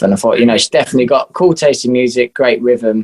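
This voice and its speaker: Here a man speaks with an English accent. His pitch is medium. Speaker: musician. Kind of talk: interview.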